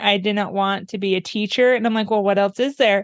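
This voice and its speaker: Against a quiet background, a woman talks at a fairly high pitch with fairly even intonation. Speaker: music therapist. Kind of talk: interview. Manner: loud.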